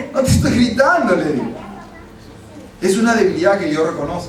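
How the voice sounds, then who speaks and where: Shouting from a man with lively intonation at a moderate pace, amid audible room echo and noticeable background noise. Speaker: pastor. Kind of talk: sermon. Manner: sounds like shouting.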